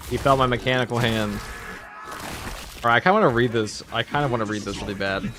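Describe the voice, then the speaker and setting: A man at a very fast pace with ordinary pitch variation, long and frequent pauses, and noticeable background noise. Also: medium pitch for a man. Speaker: gaming livestreamer. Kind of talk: casual livestream commentary. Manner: casual, rambling.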